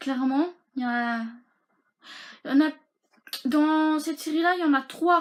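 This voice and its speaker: A woman speaks at a fairly slow pace. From Belgium. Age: 20s. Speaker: YouTuber. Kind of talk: casual talk to camera.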